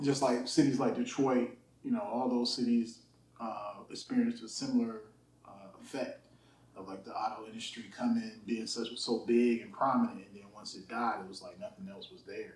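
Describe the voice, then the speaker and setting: Big swings in loudness mark a man's speech, delivered with an American accent at a moderate pace amid audible room echo. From US Midwest, Youngstown, Ohio. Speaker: music engineer. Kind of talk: casual interview.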